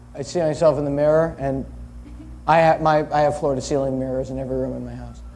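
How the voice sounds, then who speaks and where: Very fast, flat, monotone delivery from a man with fairly high pitch, big swings in loudness and audible room echo. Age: 30s. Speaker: talk show panelist. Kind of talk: casual chat.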